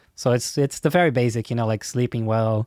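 In a very clean recording with a silent background, a man with a Portuguese accent speaks at medium pitch and a moderate pace in a dark, mellow tone, the sound dry and close with no echo. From Brazil. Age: 30s. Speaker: songwriting teacher and musician. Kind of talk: interview.

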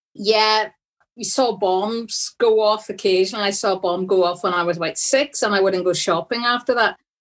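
A woman in a strong Derry accent, medium-pitched with fairly even intonation, against a quiet background. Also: moderate pace. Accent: Northern Irish (Derry), strong. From Derry, Northern Ireland. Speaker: energy industry director and professor. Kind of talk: casual interview conversation.

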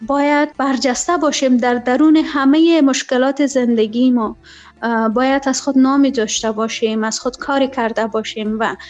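A woman speaks with a high pitch at a moderate pace. Her intonation is fairly even. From Afghanistan. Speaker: former journalist and presenter. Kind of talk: interview. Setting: Skype call.

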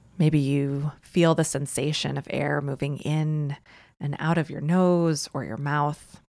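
A woman's very deep, low voice, very slow, monotone and flat, with a calm, soothing tone, in a very clean recording with a silent background. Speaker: meditation guide. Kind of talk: guided meditation. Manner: slow, calm, soothing, gentle pacing with long pauses; warm, inviting, soft-spoken.

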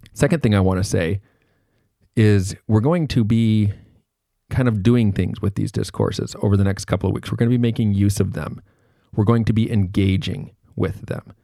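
Here a man speaks in a fairly low pitch with a dark, mellow tone and ordinary pitch variation. The recording is very clean, with a silent background. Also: moderate pace. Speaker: university lecturer. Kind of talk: recorded lecture. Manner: casual, conversational.

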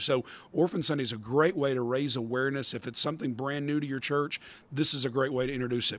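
Talking at a very fast pace, a man with a Southern US accent uses a fairly high pitch. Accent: Southern American. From US South, metro Atlanta, Georgia. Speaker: pastor and adoption ministry director. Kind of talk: podcast interview.

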